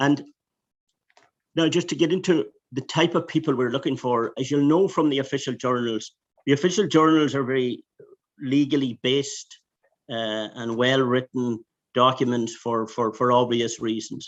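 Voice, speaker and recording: With a Donegal accent, a man talks at medium pitch and a moderate pace, using ordinary pitch variation. Long, frequent pauses break up his speech over a quiet background. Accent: Donegal Irish. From Ireland, Donegal. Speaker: EU anti-fraud official. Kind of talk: webinar presentation. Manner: halting, many restarts.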